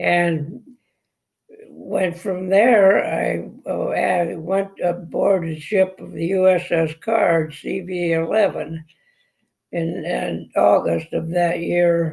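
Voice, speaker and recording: A man with an American accent, at a very slow pace. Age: 90s. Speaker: World War 2 navy veteran. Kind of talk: speech at Veterans Day event. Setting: speaking at an event. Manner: halting.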